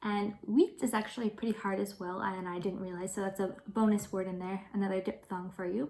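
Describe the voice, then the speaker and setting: Talking at a fairly quick pace, a woman with a plain, everyday voice keeps a medium pitch and fairly even intonation. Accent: American. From United States. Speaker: English teacher. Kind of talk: language tutorial talk to camera.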